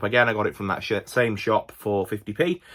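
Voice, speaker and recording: In a Yorkshire accent, a man speaks at a fairly quick pace with a fairly low pitch and ordinary pitch variation. It is a very clean recording with a silent background. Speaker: movie collector YouTuber. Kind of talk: casual video haul commentary. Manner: casual, with many fillers and restarts.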